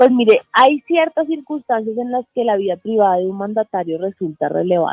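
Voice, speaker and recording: A woman speaks at a fairly high pitch over music in the background. Her intonation is lively, her pace moderate, with hardly any pauses. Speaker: journalist and press freedom foundation board member. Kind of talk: radio interview. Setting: radio studio remote interview.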